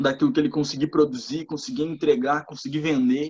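A man with a plain, everyday voice, a fairly high pitch and lively intonation. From Rio Grande do Sul, Brazil (Torres). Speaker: digital marketing entrepreneur. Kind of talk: casual chat.

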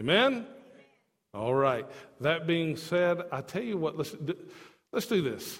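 With audible room echo around him, a man talks at a fairly slow pace while his pitch swings very widely. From not from Tennessee. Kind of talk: sermon.

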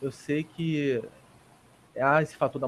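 A man speaks at a fairly slow pace. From Rio de Janeiro, Brazil. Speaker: basketball podcast co-host. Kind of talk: casual sports chat. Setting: remote call.

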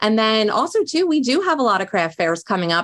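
In a very clean recording with a silent background, a woman speaks with a Philadelphia accent. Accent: Philadelphia-area American. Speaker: small business owner. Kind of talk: casual interview.

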